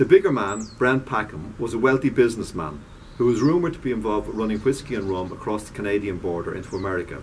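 A man's fairly low voice at a very fast pace, with lively intonation and light background noise. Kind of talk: reading aloud from a novel. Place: garden. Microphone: camera far.

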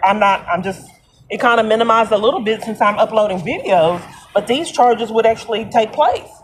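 A woman talks fairly quickly with ordinary pitch variation while light background noise sits underneath. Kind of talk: phone conversation complaint. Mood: frustrated, aggrieved. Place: street. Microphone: phone near.

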